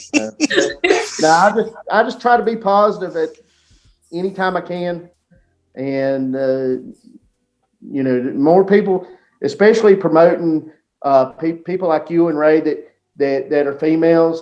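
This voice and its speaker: Long, frequent pauses break up a man's high-pitched speech, delivered at a moderate pace in a strong Southern accent. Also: ordinary pitch variation. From US South, North Carolina near Mount Airy. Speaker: sports league team owner. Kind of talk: podcast interview. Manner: halting, many repeated words.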